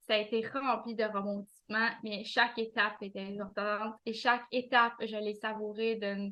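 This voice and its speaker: A woman's fairly high voice in a Quebec accent, monotone and flat, with hardly any pauses. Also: moderate pace. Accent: Québécois French. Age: 40s. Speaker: administrative assistant and author. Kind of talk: interview. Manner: halting, many hesitations.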